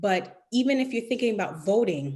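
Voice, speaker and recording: An animated, somewhat breathy woman's voice with lively intonation. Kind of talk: casual chat. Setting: video call.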